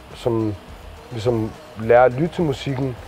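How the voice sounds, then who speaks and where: Music plays in the background. Over it, a man speaks at a medium pitch and a moderate pace. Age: 20s. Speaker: rapper. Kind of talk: interview.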